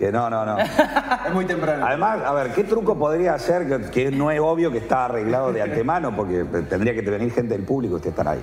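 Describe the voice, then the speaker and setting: Noticeable background noise and audible room echo surround a man's voice. He talks fairly quickly, with very wide pitch swings. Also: hardly any pauses. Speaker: video game developer and event presenter. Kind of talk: casual chat.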